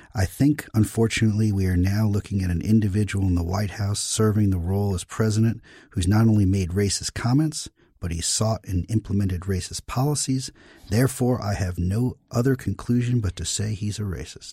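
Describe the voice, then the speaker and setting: Speaking at a fairly quick pace, a man uses a dark, mellow tone, a fairly low pitch and ordinary pitch variation, his voice somewhat breathy in a very clean recording with a silent background. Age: 50s. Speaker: guest podcast host, former press secretary. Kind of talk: interview conversation. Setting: studio in Washington.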